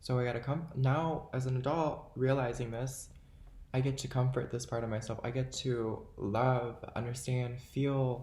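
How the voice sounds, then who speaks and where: A man speaks at a fairly slow pace in a dark, mellow, somewhat breathy tone, his intonation monotone and flat, with audible room echo. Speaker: self-help vlogger. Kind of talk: motivational monologue to camera. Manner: casual, halting with fillers.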